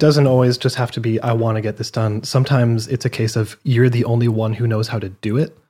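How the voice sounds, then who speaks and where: Speaking at a fairly quick pace, a man with a medium-pitched, somewhat breathy voice and a dark, mellow tone is heard on a very clean recording with a silent background. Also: hardly any pauses. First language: French. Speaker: gaming podcast co-host. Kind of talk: casual chat.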